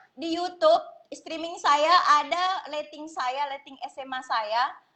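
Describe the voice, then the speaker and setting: A woman speaks with a high pitch. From Southeast Sulawesi, Indonesia (Bajau community, Langara, Wawonii island). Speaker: live stream host. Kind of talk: casual live stream chat. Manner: chatty, informal.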